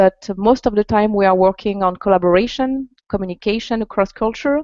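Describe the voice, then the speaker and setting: A woman with a French accent at a fairly quick pace. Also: medium pitch for a woman, ordinary pitch variation, very even loudness. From France. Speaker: executive coach. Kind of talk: interview. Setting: video call.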